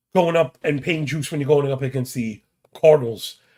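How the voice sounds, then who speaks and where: A man's fairly high, somewhat breathy voice at a very fast pace. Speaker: sports betting podcast host. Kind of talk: casual sports betting preview monologue. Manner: casual, fast-talking.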